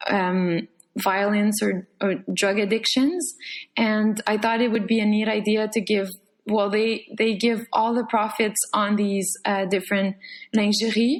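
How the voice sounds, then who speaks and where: In a Quebec French accent, a woman speaks at a fairly slow pace with a fairly high pitch, fairly even intonation and very even loudness over a quiet background. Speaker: painter. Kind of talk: casual chat. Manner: halting.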